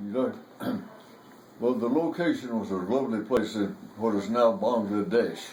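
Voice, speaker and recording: A man at a medium pitch and a moderate pace, with lively intonation, long and frequent pauses, and noticeable background noise. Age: 80s+. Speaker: war veteran. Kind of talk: storytelling interview.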